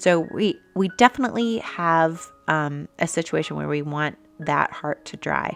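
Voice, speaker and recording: Music plays behind a woman speaking very slowly in a calm tone, her fairly low pitch showing ordinary variation. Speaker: art teacher. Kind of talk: tutorial. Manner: halting.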